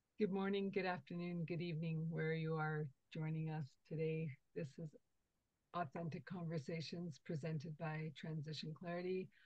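At a moderate tempo, the speaker comes across with a fair amount of breathiness. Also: woman, fairly low pitch for a woman, fairly even intonation. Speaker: podcast host. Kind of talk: podcast interview.

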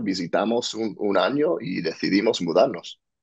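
A man speaks with an American accent at a moderate speed over a quiet background. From US, New Jersey. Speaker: entrepreneur and author; podcast guest. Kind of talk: interview. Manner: halting, repeats words. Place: home room. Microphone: earbuds.

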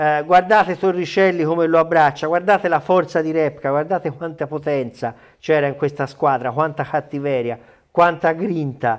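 Against a quiet background, a man talks. His pace is moderate, his pitch variation ordinary. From Italy. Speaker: sports journalist. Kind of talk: casual chat. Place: studio. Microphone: lapel.

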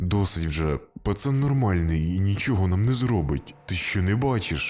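A put-on character voice from a man, very deep and low-pitched, at a moderate pace with very even loudness and music in the background. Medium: read story. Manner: firm, matter-of-fact.

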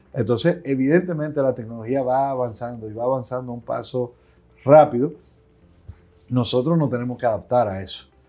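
Faint music plays in the background as a man speaks at a fairly quick pace with ordinary pitch variation. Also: big swings in loudness. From Dominican Republic. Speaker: aviation company CEO and pilot; interviewee. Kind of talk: interview. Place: office. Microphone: lapel.

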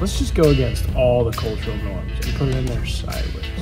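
A man talks at a fairly quick pace. Clear music sits behind him. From Rhode Island. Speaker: mechanic. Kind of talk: casual talk to camera while working. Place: garage. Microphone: phone near.

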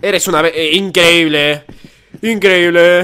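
Speaking at a moderate pace, a man with a Spanish accent has a bright, sharp tone. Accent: Peninsular Spanish. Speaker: gaming YouTuber. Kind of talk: gameplay commentary. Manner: animated.

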